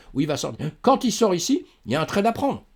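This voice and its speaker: A man's pitch leaps up and down dramatically on a very clean recording with a silent background. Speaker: crypto trading youtuber. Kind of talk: trading tutorial. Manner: fast.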